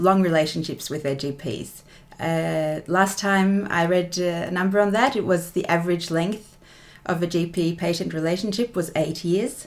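A woman with an ordinary speaking voice, fairly low in pitch, with ordinary pitch variation at a moderate pace. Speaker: general practitioner and PhD researcher. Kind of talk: interview.

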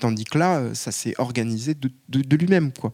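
The man's voice sits at a medium pitch with ordinary pitch variation. His tone is dark and mellow. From Paris. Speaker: activist. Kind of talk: public panel debate.

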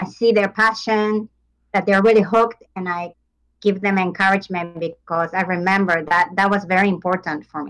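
With a Japanese accent, a woman speaks at a moderate pace and medium pitch. Her intonation is fairly even. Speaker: tango teacher. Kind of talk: interview.

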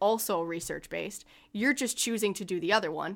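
A woman with a plain, everyday voice talks at medium pitch and a moderate pace. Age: 20s. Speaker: therapeutic coach and gym owner. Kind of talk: casual interview.

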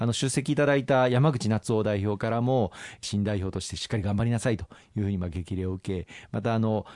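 Behind the speech, the background stays quiet. Words come at a fairly quick pace, and pitch varies in an ordinary way. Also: man, fairly low pitch for a man. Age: 40s. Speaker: politician. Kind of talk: radio interview. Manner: formal; hesitant with filler words.

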